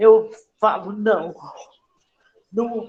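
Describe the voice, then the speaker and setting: Fairly high-pitched woman at a very slow pace. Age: 60s. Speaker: mental health service user sharing experience. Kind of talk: testimony. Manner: halting, many fillers.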